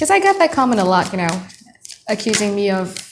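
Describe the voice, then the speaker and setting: With an Indonesian accent, a woman speaks at a medium pitch over noticeable background noise. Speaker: tarot reader. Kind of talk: tarot reading monologue. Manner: casual, conversational; mutters in native language at times.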